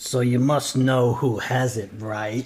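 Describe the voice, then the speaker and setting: A man's put-on character voice, medium in pitch, with monotone, flat intonation at a fairly slow pace. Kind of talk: best warrior voice. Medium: actual play. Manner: dry, blunt.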